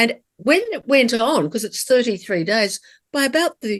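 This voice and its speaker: Against a quiet background, a woman talks at a fairly high pitch. She has an Australian accent. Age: 60s. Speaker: cancer survivor. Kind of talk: interview.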